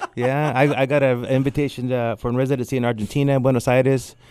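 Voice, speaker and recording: A man's dark, mellow tone at a very fast pace. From California Central Valley (Porterville), born in Tamaulipas, Mexico. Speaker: artist and art professor. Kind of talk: casual interview. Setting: radio studio. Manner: animated.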